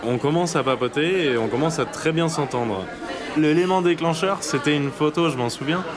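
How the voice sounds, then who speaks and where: Crowd noise sits in the background and room echo is audible as the speaker keeps a moderate pace, very even loudness, and ordinary pitch variation. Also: man, fairly high pitch for a man. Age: 20s. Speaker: anonymous interviewee sharing a lockdown love story. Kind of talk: personal testimony. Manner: halting, with many hesitations.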